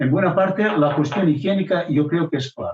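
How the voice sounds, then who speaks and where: A man's somewhat breathy voice moves at a moderate pace, its pitch varying in an ordinary way. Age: 70s. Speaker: local history contributor. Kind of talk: radio interview. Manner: hesitant, many fillers and repetitions.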